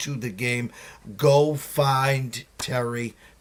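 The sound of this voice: With a Boston accent and fairly even intonation, the speaker is heard on a very clean recording with a silent background. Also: man.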